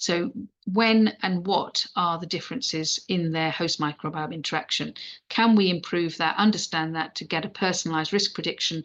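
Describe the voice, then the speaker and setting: A woman speaks in a fairly low voice. The background is quiet. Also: ordinary pitch variation. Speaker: paediatric intensive care doctor teaching. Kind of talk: lecture. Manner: fast; halting, many false starts.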